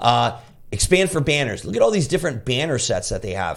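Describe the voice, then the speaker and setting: In an enthusiastic tone, a man with a fairly high, fry-touched voice talks at a fairly quick pace, his pitch swinging very widely. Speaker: affiliate marketing reviewer. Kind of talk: screen-share tutorial walkthrough. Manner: fast.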